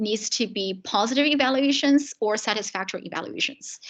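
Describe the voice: Moving at a fairly quick pace, the voice has a fairly bright tone and ordinary pitch variation. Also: woman.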